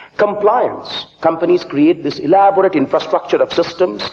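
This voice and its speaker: A man with an Indian accent speaks with ordinary pitch variation over noticeable background noise. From eastern India, Calcutta. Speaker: business school professor. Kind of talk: conference speech. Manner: animated.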